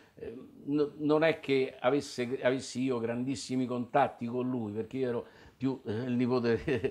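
A man speaks at a very slow pace. His medium pitch stays monotone, with flat intonation. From Italy, Rome. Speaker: community elder interviewed about memories; interviewee. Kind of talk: oral history testimony. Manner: halting, many fillers. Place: home room.

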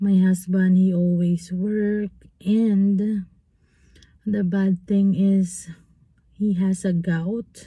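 A woman speaks at a very slow pace with long, frequent pauses, monotone, flat intonation and very even loudness. Her tone is dark, mellow and somewhat breathy, the sound dry with no echo over a quiet background. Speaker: vlogger. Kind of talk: casual vlog chat. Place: car. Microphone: phone near.

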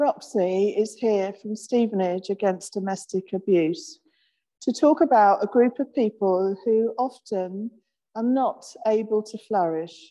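A woman at a fairly slow pace, dark and mellow in tone, over a quiet background. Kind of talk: sermon. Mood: gentle, reflective. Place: church.

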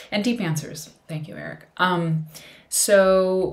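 Somewhat breathy and fairly low in pitch, a woman speaks with an American accent. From US Midwest. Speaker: vlogger. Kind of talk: casual chat. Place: home room.

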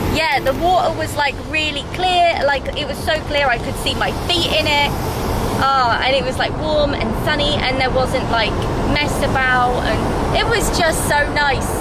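Over loud background noise, a woman talks at a moderate pace, the sound dry with no echo. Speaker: travel vlogger. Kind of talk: casual vlog chat. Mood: cheerful, chatty. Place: car. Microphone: phone near.

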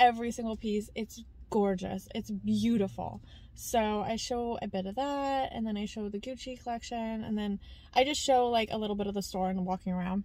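A woman's dark, mellow tone with fairly even intonation and a dry sound with no echo. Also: moderate pace. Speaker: vlogger. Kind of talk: casual vlog chat. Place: car. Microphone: phone near.

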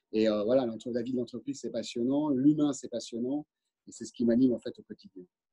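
A man's dark, mellow voice at a medium pitch, fairly quick, with ordinary pitch variation over a quiet background. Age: 50s. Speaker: company director. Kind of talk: interview. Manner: halting. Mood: warm, enthusiastic. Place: office. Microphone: video call.

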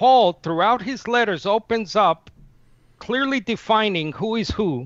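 The speech has lively intonation. The sound is dry with no echo, over a quiet background. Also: man. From Nicaragua. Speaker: Unitarian debater and channel manager; debater. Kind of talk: formal debate. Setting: video call. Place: home room. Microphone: headset.

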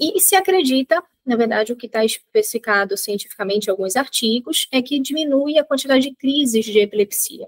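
A woman with a high voice talks at a fairly quick pace over a quiet background, her pitch swinging very widely and hardly any pauses breaking her speech. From Belém, Pará, northern Brazil; Pará, Brazil. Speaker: nutritionist; guest. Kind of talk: pre-recorded expert explanation.

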